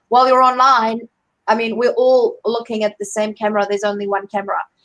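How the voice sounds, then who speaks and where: Speaking at a very fast pace with a strong South African accent, a woman has a fairly high pitch and monotone, flat intonation. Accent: heavy South African. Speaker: career coach. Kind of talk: live online interview. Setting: video call livestream. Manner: hesitant, many fillers.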